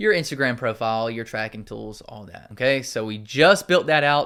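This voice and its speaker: Medium-pitched man with a slight Southern US accent, lively intonation and a fairly quick pace, against a quiet background. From US South. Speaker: marketing tutorial YouTuber. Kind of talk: tutorial. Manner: casual, conversational.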